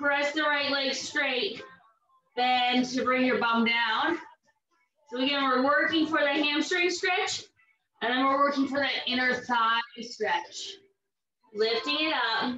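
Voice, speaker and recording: In a raised, projected voice, a woman speaks at a fairly slow pace with very even loudness and long, frequent pauses, amid light background noise and audible room echo. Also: ordinary pitch variation. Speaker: fitness instructor. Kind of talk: exercise class instruction. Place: home room. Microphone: camera far.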